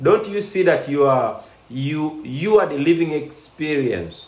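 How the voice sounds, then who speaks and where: A man talks with lively intonation while audible room echo and noticeable background noise fill the recording. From Uganda. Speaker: life coach and show host. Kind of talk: live-streamed interview.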